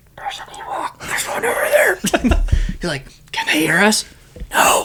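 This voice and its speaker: A man whispers as background noise is clearly heard. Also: moderate pace. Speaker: podcast co-host. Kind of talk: casual chat.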